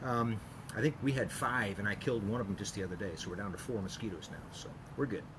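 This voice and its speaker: Audible room echo surrounds a man with a fairly low voice. He talks very fast, with ordinary pitch variation. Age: 60s. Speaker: chiropractor. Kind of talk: casual tutorial. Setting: outdoors at home. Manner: relaxed, hesitant with many fillers.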